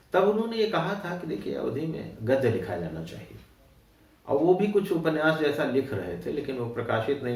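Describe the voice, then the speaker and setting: Over noticeable background noise, a man speaks at a moderate pace with very wide pitch swings and big swings in loudness. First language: Awadhi (speaking Hindi). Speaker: writer. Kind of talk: interview. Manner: hesitant with frequent fillers.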